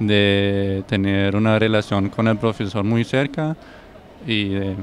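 A man with a German accent and a fairly low pitch, fairly slow and fairly even in intonation, in a dry recording with no echo and light background noise. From Germany. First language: German (speaking Spanish). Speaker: exchange medical student. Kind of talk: testimony. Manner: halting, with frequent self-corrections and repeated words. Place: garden. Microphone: handheld.

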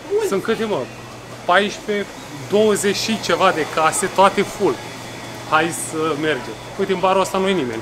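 A man speaks at a high pitch and a fairly slow pace, with ordinary pitch variation. He takes long, frequent pauses amid noticeable background noise. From Romania. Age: 40s. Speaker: vlogger. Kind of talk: casual vlog chat. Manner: loud. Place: street. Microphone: phone near.

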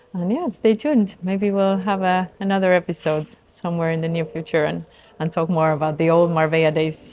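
This woman has a normal speaking voice with a fairly low pitch. Her intonation is fairly even and her pace moderate. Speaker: podcast host. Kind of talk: interview.

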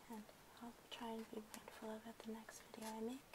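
A soft-spoken woman at fairly high pitch over loud background noise. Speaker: ASMR content creator. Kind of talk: ASMR soft-spoken talk to camera. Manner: soft-spoken, quiet. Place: home room.

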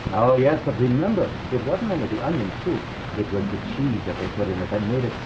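Noticeable background noise beneath a fairly quick pace of talk. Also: man. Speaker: TV show host. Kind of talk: scripted TV host banter. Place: studio.

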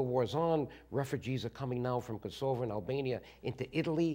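A man with an American accent at a very fast pace, ordinary pitch variation, against a quiet background. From Bronx, New York. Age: 60s. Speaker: guest, former congressman. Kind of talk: interview answer. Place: studio. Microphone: lapel.

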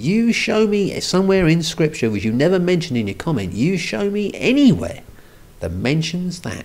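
A man with big pitch swings and a slightly mellow tone, at a moderate pace amid audible room echo. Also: fairly high pitch for a man.

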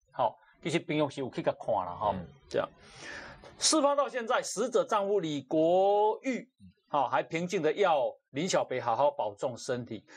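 Loudness rises and falls in big swings. This male speaker keeps a medium tempo. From Taiwan. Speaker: talk show host. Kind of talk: casual chat. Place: studio. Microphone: lapel.

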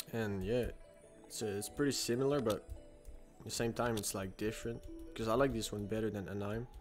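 Fairly quick speech with fairly even intonation, long, frequent pauses and music in the background. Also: man, medium pitch for a man. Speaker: video game streamer. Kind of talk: casual gameplay commentary.

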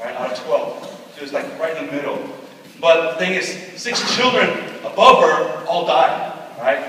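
Over light background noise, a man talks at a moderate pace with strong room echo. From California and Dallas, Texas, Korean-American. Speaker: pastor. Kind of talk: testimony. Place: hall. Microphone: camera far.

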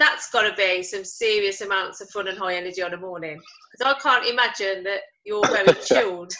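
Light background noise runs under a woman talking at a fairly quick pace with ordinary pitch variation. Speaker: business coach. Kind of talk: interviewer, casual chat. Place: home room. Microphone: video call.

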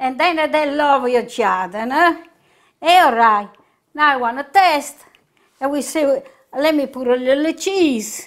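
With a strong southern Italian accent, a high-pitched woman speaks at a fairly slow pace with ordinary pitch variation and long, frequent pauses, over a quiet background. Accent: heavy southern Italian accent in English. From southern Italy, Puglia. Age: 80s+. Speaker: home cook; home cook host. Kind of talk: cooking tutorial. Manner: halting. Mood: warm, cheerful. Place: kitchen.

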